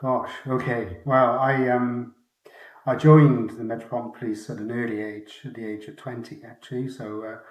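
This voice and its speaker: Here a man with a Welsh accent talks at a moderate pace in a medium pitch with fairly even intonation. His loudness swings widely, and there is audible room echo. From Wales. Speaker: retired mounted police officer. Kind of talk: interview.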